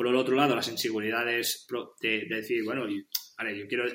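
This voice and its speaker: A man speaks at a very fast pace. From Catalonia, Spain (Penedès). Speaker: podcast interview guest. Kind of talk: casual interview chat. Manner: halting, many repetitions and fillers.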